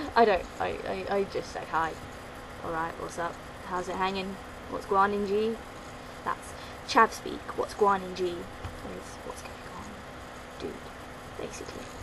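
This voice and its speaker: A woman with a London accent at a fairly slow pace, long, frequent pauses and big swings in loudness, with audible room echo and noticeable background noise. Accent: British, London. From London, England. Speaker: vlogger. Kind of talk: casual vlog, accent challenge.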